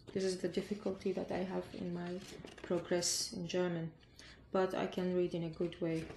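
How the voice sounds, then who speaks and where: Somewhat breathy woman's voice with monotone, flat intonation. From Iraq. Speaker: refugee. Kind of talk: interview. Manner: halting.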